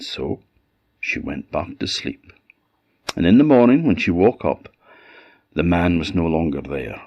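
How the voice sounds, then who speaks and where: A man with an Orcadian accent speaks at a fairly slow pace in a very deep, low voice, his intonation lively. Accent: Orcadian Scottish. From Orkney, Scotland. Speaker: storyteller. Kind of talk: folk tale storytelling.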